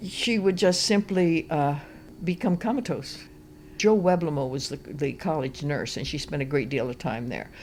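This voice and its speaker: This woman's voice sits at a very deep, low pitch, with lively intonation. She speaks at a moderate pace. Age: 80s+. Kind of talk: interview answer.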